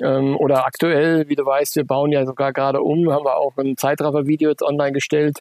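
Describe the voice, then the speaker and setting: Speaking at a fairly quick pace, a man with a fairly high pitch keeps a monotone, flat intonation and very even loudness, the sound dry and close with no echo. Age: 40s. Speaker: running shop owner. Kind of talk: interview. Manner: hesitant, many filler sounds.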